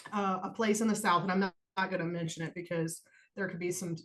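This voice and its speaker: A woman with an American accent talks at a medium pitch, her voice somewhat breathy and her intonation fairly even. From US Midwest. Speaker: podcast co-host. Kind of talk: personal testimony in casual podcast chat. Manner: casual, informal.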